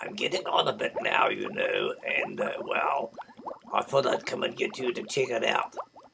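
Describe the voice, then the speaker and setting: A man performs a put-on character voice. Sound effects play in the background. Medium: read story. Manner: hesitant, polite.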